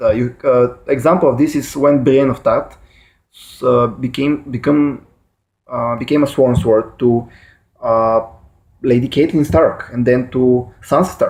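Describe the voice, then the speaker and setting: A man speaks with a Bulgarian accent in a medium pitch. His pace is fairly slow and his intonation fairly even. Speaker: YouTuber explaining fictional lore. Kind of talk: casual explainer monologue. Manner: halting, many fillers and self-corrections.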